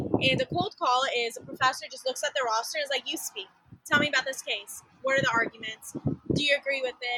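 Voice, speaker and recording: Very fast and in a raised, projected voice, a woman with an American accent speaks at a high pitch with ordinary pitch variation. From Texas, small town near Dallas. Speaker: law student. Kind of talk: casual interview.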